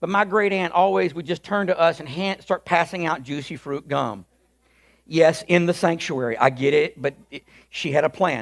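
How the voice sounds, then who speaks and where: A man speaks at a moderate pace in an unremarkable speaking voice, pitched fairly high. The recording is very clean, with a silent background. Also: ordinary pitch variation. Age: 50s. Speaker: pastor. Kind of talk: sermon. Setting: church.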